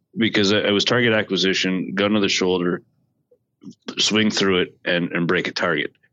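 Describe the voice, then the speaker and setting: A man with a normal speaking voice talks at a fairly low pitch and a moderate pace. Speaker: podcast co-host. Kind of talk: casual chat.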